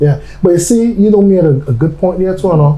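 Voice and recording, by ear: A man's high-pitched voice with a dark, mellow tone, lively intonation, a fairly quick pace and audible room echo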